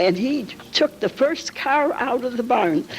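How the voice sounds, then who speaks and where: An American accent at a moderate pace, with very wide pitch swings and noticeable background noise. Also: woman. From Calumet City, Illinois, US Midwest. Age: 80s+. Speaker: local elder sharing memories. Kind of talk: oral history testimony.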